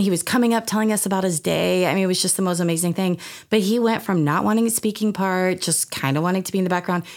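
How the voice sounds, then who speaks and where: A woman talks on a very clean recording with a silent background. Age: 40s. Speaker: youth theatre program director. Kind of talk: interview. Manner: hesitant, many fillers.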